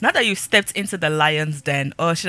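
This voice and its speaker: Over noticeable background noise, a woman talks at a fairly quick pace with an animated tone and lively intonation. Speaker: gaming youtuber. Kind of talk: let's play commentary. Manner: casual, chatty.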